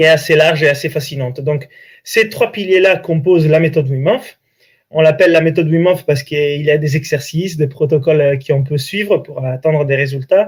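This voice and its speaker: This man has an Italian accent, a fairly high pitch and ordinary pitch variation. He speaks at a fairly quick pace on a very clean recording with a silent background. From Italy, Italian coast. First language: Italian (speaking French). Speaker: breathing coach and author. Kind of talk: interview.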